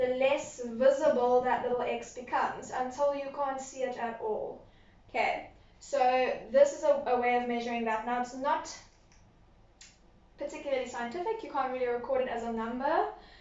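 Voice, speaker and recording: Amid audible room echo, a woman with a high pitch speaks with fairly even intonation and long, frequent pauses. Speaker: science teacher. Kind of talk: recorded lesson. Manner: fast.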